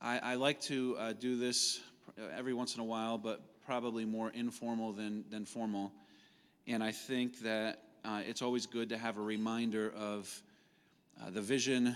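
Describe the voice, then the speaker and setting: Speaking at a moderate pace with monotone, flat intonation, a man with a medium pitch is heard in a very clean recording with a silent background. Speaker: nonprofit president and CEO. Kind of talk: staff training talk. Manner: loud; halting, informal.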